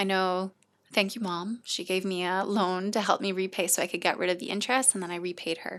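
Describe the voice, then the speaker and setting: In a very clean recording with a silent background, someone with a Canadian accent speaks at a fairly quick pace in an unremarkable speaking voice with fairly even intonation. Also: woman, medium pitch for a woman. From Canada. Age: 30s. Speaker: charity shop founder. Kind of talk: podcast interview.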